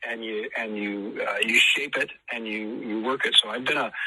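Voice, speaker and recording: A man speaks with an American accent at a moderate pace. Noticeable background noise runs underneath. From US (Idaho). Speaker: musician, tribute act singer. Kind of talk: radio interview. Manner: halting, many fillers.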